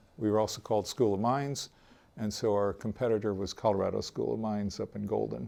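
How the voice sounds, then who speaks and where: The recording is very clean, and the background is silent. A man speaks very fast. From US West Coast (Oregon, California, Hawaii), teens near Los Angeles. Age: 60s. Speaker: retired database designer telling his conversion story. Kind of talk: interview testimony. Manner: hesitant, many fillers (uh, um).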